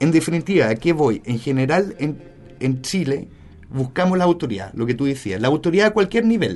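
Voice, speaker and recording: Pitch swings run very wide as a man speaks in a fairly high register. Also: fairly quick pace. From Germany and Spain. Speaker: media specialist. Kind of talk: casual interview.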